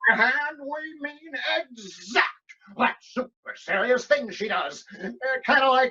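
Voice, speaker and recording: Using a put-on character voice, the speaker talks at a high pitch and a fairly slow pace, with long, frequent pauses. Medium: audio drama. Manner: brash, jokey.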